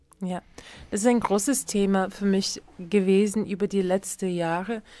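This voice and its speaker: In a very clean recording with a silent background, a woman speaks at a medium pitch with an American accent. Her dark, mellow tone stays monotone and flat. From US Midwest, Minneapolis. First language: English (speaking German). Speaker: dance director and choreographer. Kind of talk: interview. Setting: radio studio. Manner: halting, with many fillers.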